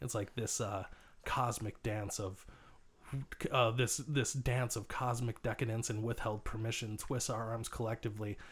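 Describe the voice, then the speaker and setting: A man with a medium pitch and a somewhat breathy voice speaks at a moderate pace with fairly even intonation. The recording is very clean, with a silent background. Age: 30s. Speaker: returning podcast guest. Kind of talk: casual chat. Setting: in a van.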